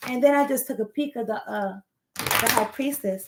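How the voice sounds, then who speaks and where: A woman with a normal speaking voice talks at a moderate pace, pitched fairly high, with ordinary pitch variation. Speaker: tarot card reader. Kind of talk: tarot reading. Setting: home recording on laptop. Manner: casual.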